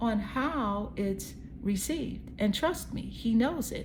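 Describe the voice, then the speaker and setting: A woman's voice carries audible room echo. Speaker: tarot card reader. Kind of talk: psychic tarot reading. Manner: casual, conversational.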